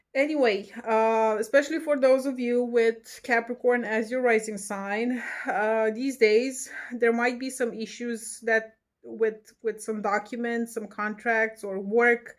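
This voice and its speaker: A woman's fairly high voice, fairly slow in pace, with fairly even intonation. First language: not English. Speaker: tarot and astrology reader. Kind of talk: horoscope reading to camera. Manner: halting, many fillers; casual, chatty.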